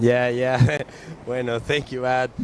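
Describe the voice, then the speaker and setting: Noticeable background noise sits behind a man speaking with a Chilean accent. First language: Spanish. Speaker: windsurfer. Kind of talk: interview. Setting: outdoors at beach event. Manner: halting.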